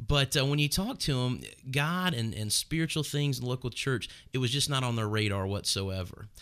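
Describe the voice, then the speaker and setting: A man speaks in an ordinary speaking voice with an American accent, medium in pitch with ordinary pitch variation, at a fairly quick pace, in a very clean recording with a silent background. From Northern Kentucky, US. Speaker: pastor. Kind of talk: casual chat. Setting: studio, streamed live on video.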